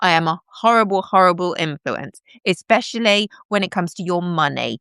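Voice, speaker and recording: An animated woman with vocal fry at a moderate pace, the sound dry and close with no echo. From southern England, home counties. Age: 50s. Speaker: live streamer. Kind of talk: casual live-stream chat. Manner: halting.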